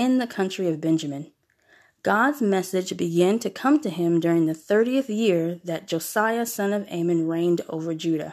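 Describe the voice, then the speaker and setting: A woman with an ordinary speaking voice talks at a moderate pace and medium pitch, with ordinary pitch variation. The recording is very clean, with a silent background. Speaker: podcast host. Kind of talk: scripture reading aloud. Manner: measured, solemn, reverent reading pace.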